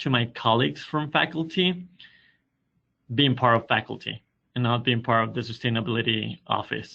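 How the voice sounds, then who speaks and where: A man with a Spanish accent speaks at a medium pitch against a quiet background. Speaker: university sustainability coordinator. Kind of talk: webinar presentation.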